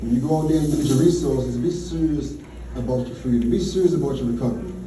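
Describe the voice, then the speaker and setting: A man with an American accent speaks at a very fast pace and a medium pitch, with audible room echo and noticeable background noise. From Richmond, Virginia, US South. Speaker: motivational speaker, formerly incarcerated mentor. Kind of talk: motivational talk to audience.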